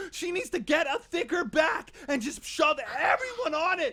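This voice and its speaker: A man's raised, projected voice, bright and sharp in tone, with lively intonation at a moderate pace. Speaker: gaming commentator. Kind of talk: comedic esports shoutcast. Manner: loud, excitable.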